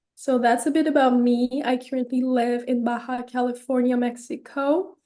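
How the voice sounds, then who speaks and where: A woman with a French Canadian accent, a high pitch, a dark, mellow tone, monotone, flat intonation and a very slow pace. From Quebec, Canada (suburb of Montreal). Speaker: holistic counselor. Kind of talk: podcast interview.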